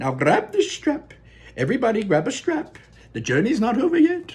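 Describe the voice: A man puts on a character voice at an extremely high pitch, with very wide pitch swings and a moderate pace. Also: slightly mellow tone.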